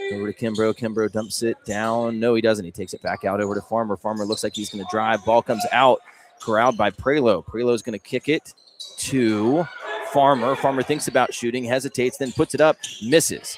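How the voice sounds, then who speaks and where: Noticeable background noise runs behind the speaker. A man talks at medium pitch and a fairly quick pace. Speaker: high school basketball play-by-play announcer. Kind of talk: live sports commentary. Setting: courtside at a gym, live broadcast. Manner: fast, animated play-by-play.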